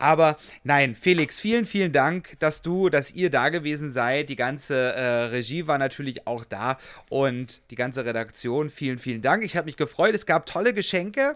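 A man speaks in a plain, everyday voice with a fairly high pitch. His pace is moderate and his intonation lively. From Saxony, Germany. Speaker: podcast co-host. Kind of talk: casual chat; interview.

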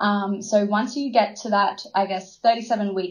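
An Australian accent comes through over a quiet background. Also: woman. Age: 20s. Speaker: midwife and nurse. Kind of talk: interview about pregnancy and birth.

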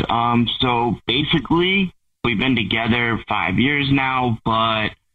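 A man at medium pitch has a normal speaking voice with ordinary pitch variation. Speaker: caller. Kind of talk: casual phone chat. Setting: phone call.

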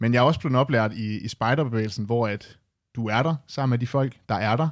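An unremarkable speaking voice moves at a moderate pace in a very clean recording with a silent background. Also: man. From Denmark, Aalborg. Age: 20s. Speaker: youth representative at a retail cooperative. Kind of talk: interview. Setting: studio.

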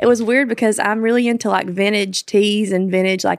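In a very clean recording with a silent background, a woman with a Kentucky accent talks with fairly even intonation. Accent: Southern US (Kentucky). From Kentucky, small town. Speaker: country singer. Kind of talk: casual interview chat.

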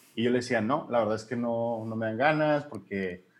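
Here is a normal speaking voice, a man's at a medium pitch. He speaks at a moderate pace with fairly even intonation. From Mexico, Hermosillo, Sonora. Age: 30s. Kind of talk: interview.

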